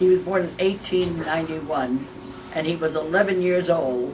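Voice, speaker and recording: With a New York accent, a woman talks at a moderate pace and medium pitch, with noticeable background noise and audible room echo. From New York, Mount Vernon. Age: 90s. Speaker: family elder interviewee. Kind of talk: oral history interview. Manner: halting.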